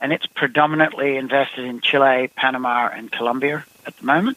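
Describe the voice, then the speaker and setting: Over noticeable background noise, a man with an Australian accent speaks at a fairly quick pace. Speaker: company CEO. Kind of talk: interview. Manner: halting, many fillers.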